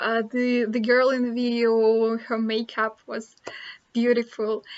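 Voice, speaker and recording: A high-pitched woman's voice with a Russian accent. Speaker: vlogger. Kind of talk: casual chat. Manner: halting.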